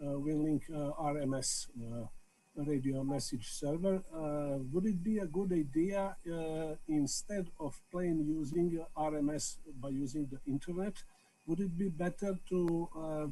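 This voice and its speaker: In a Serbian accent, the speaker has a dark, mellow tone and a fairly slow pace with ordinary pitch variation, and audible room echo surrounds the voice. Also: man, fairly high pitch for a man. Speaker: amateur radio operator. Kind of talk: video call meeting remarks. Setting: video call. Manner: halting, many hesitations.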